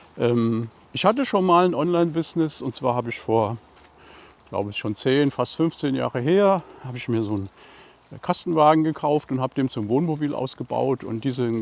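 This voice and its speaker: A man's medium-pitched voice moves with lively intonation as he speaks at a moderate pace. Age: 60s. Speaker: painting YouTuber. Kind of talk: casual walking vlog talk. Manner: relaxed, casual.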